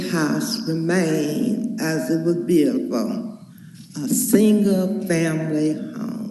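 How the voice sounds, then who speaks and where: A woman's very slow speech with lively intonation, noticeable background noise and audible room echo. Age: 80s+. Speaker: resident speaking at public hearing. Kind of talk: public comment at hearing.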